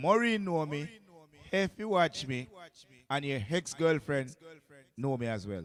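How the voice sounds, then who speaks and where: Using a Jamaican accent, a man talks in an animated tone at a fairly high pitch, his pitch swinging very widely, with long, frequent pauses. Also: fairly slow pace. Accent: Jamaican Patois-inflected English. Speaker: radio DJ and selector. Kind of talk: radio show chat. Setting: radio studio.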